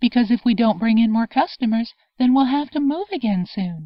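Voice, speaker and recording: A woman's strained, shouting character voice, put-on, fairly high-pitched, fairly quick, with lively intonation. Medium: read story. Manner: restrained, even, never shouting.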